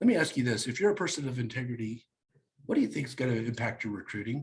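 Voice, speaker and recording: A man speaks at a very fast pace with lively intonation. His voice is medium in pitch and somewhat breathy. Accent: American. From Kansas, US Midwest. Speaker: real estate team leader and recruiter. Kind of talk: coaching talk on a group call. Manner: energetic.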